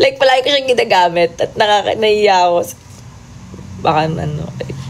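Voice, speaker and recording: A woman speaks over noticeable background noise. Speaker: P-pop group singer. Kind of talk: livestream chat reading comments. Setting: TikTok livestream. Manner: casual, chatty with code-switching.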